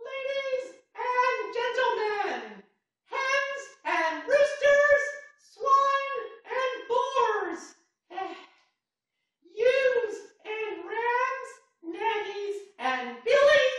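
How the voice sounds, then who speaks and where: Squeaky and extremely high-pitched, a put-on character voice moves at a very slow pace with long, frequent pauses and strong echo. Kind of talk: announcer. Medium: comedy sketch.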